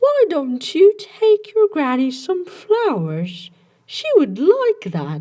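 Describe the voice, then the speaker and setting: The speaker uses a squeaky, put-on character voice at an extremely high pitch. The pace is very slow. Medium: read story. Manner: sly, falsely sweet.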